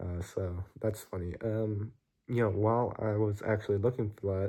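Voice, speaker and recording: A man's fairly low, somewhat breathy voice with a dark, mellow tone against a quiet background. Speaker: vlogger. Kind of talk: casual vlog monologue. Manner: casual, filler-heavy.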